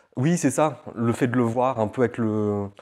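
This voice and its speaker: A man talks at a medium pitch on a very clean recording with a silent background. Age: 20s. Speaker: interviewee sharing faith testimony. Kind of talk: testimony interview. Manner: halting, many fillers.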